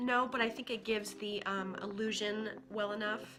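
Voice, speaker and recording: Noticeable background noise sits behind the speaker. She is a woman with a fairly high voice. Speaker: beauty vlogger. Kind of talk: makeup tutorial talk to camera. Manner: casual.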